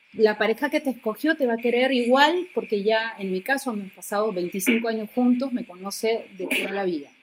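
A woman with an ordinary speaking voice and a fairly high pitch talks at a moderate pace with lively intonation. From Argentina. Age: 50s. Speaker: TV presenter and actress. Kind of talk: personal testimony in interview.

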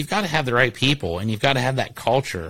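Very fast speech from a man at medium pitch with a bright, sharp tone, on a very clean recording over a silent background. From Ohio, Columbus. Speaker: roofing company owner. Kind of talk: casual chat.

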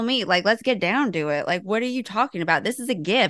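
A woman with a Southern US accent speaks at a fairly quick pace in a fairly high pitch. Her tone is animated, and the background is quiet. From US South. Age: 30s. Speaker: intuitive life coach and podcast co-host. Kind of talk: casual chat.

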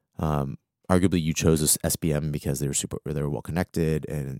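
A man with an American accent, very deep low pitch, vocal fry, a dark mellow tone and fairly even intonation, in a dry, close sound with no echo. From Arlington, Virginia (DC area). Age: 30s. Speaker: freelance marketing strategist. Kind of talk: casual interview chat. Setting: studio.

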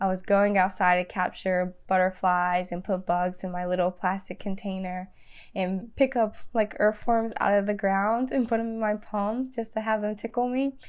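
Here is a woman with an ordinary speaking voice. She talks at a moderate pace with medium pitch and fairly even intonation. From US South, Danville, Virginia. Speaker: plant-based lifestyle blogger. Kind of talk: interview. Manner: casual, filler-heavy.

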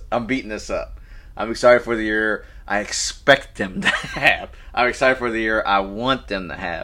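A man talks at a moderate pace, with noticeable background noise behind him. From Louisville, Kentucky (South End). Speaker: sports podcast co-host. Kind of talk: casual sports talk.

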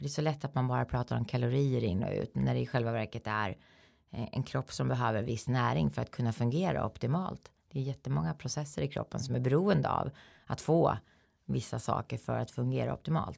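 The recording is very clean, and the background is silent. A woman speaks fairly quickly on it. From Sweden, Eskilstuna. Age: 40s. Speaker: health lecturer and coach. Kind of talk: interview.

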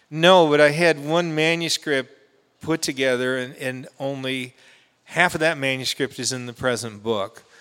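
A man speaks in a fairly high pitch at a moderate pace. His pitch varies in an ordinary way. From Southern California. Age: 60s. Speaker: poet. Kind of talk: poetry reading. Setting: stage with audience.

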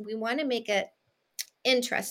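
Her voice is pitched high for a woman. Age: 50s. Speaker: dating coach. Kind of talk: interview.

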